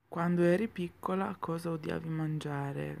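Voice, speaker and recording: A woman is talking. The pitch of her voice is very deep and low. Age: 30s. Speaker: YouTuber. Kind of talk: casual vlog.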